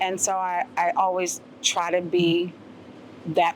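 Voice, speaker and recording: With an American accent, a woman speaks in a fairly low pitch. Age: 60s. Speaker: former athlete and coach. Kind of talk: interview. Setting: university venue. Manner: hesitant, many fillers.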